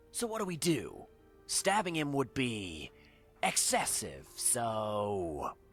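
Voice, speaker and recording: With faint music in the background, a man uses a medium-pitched, put-on character voice at a very slow pace. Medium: video game.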